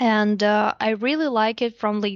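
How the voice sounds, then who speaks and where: At a very slow pace, a woman talks with a fairly high pitch. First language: Russian. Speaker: investor relations specialist at a lending platform. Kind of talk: podcast interview.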